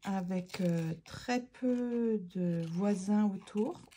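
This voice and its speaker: This woman sounds somewhat breathy. Her tone is dark and mellow. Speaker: art therapy craft youtuber. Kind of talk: casual craft tutorial chat. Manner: hesitant, many fillers; no longer pushing voice, quieter than before.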